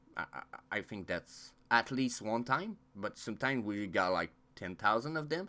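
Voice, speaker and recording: With a non-native accent, the speaker talks at a moderate pace using lively intonation while music plays in the background. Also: man, medium pitch for a man. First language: not English. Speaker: crypto YouTuber. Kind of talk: casual vlog monologue. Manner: halting, many fillers.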